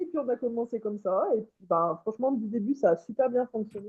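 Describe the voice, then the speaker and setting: A fairly quick pace with ordinary pitch variation. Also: woman. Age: 30s. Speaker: lithotherapy practitioner. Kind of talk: interview. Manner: hesitant, many fillers. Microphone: too quiet, far from mic, cutting out.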